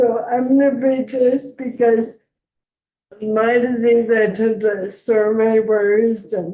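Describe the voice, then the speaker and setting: A woman mumbles at a very slow pace in a fairly high voice. Her intonation is flat and monotone. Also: very even loudness. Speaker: patient advocate. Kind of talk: public testimony. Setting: legislative committee hearing. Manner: halting; mumbling.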